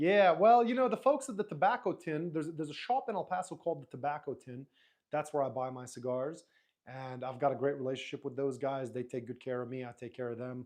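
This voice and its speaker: Speaking at a fairly quick pace with an Arabic accent, a man with a fairly high pitch uses lively intonation against a quiet background. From Lebanese, raised in Dubai. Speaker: YouTuber. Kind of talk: live stream chat. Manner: casual, halting with fillers.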